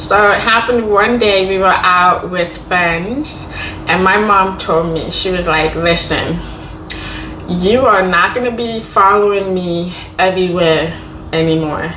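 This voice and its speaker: A woman at a fairly slow pace and medium pitch, with ordinary pitch variation, audible room echo and noticeable background noise. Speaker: Deaf vlogger sharing personal experience. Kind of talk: casual Q&A monologue.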